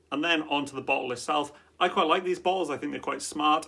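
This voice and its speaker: A man with a Welsh accent, a fairly high pitch and a bright, sharp tone. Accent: Welsh, drops T's. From Wales. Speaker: fragrance reviewer. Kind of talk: product review. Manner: casual, conversational.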